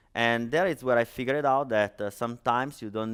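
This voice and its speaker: A voice with an Italian accent. Its pitch varies in an ordinary way. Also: man. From Italy. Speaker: startup founder and conference speaker. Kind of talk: conference talk. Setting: stage with audience. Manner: hesitant, many fillers.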